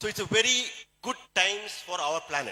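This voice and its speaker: Speaking at a moderate pace, a man talks with a Keralan accent. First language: Malayalam. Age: 60s. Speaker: doctor and supplement seller. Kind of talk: motivational sales talk.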